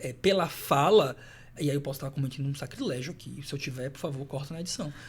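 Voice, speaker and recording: With a strong Salvador accent, a man talks at a very fast pace in a fairly high, somewhat breathy voice, with ordinary pitch variation and big swings in loudness. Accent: strong Salvador Bahian. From Salvador, Bahia, Brazil. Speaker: professor. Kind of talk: podcast interview.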